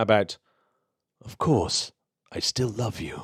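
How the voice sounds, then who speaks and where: A raspy put-on character voice from a man at medium pitch and a fairly slow pace, on a very clean recording with a silent background. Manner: suave.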